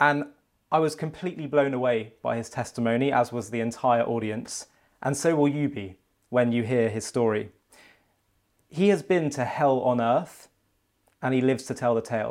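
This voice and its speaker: A man at a medium pitch and moderate pace, with ordinary pitch variation and long, frequent pauses. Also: very clean recording, silent background. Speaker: interviewer. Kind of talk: interview.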